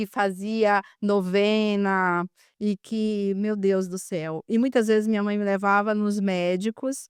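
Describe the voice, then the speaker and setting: A woman with a northeastern Brazilian accent, medium-pitched and monotone, speaking very slowly in a very clean, dry, close recording with a silent background and no echo. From Brazil, Maranhão (Northeast). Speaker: physiotherapist and spiritual healer. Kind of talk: podcast interview. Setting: studio.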